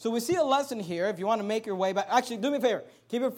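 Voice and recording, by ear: A natural voice reads aloud here. Its pitch moves in an ordinary way.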